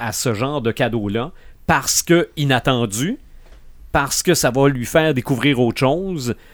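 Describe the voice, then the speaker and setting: On a very clean recording with a silent background, a man speaks. His pitch is fairly high, with ordinary pitch variation. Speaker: podcast host. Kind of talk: casual chat.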